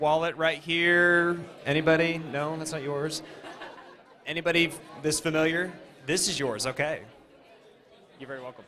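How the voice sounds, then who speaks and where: A man's fairly high voice at a moderate pace, with fairly even intonation, big swings in loudness, long and frequent pauses, and audible room echo. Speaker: event emcee. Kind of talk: event hosting announcements. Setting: live event with audience.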